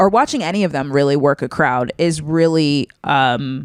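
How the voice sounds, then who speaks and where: A woman talks fairly slowly at a very deep, low pitch, with lively intonation. The sound is dry and close, with no echo. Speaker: comedian and podcast co-host. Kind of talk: casual chat. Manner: mid to low energy.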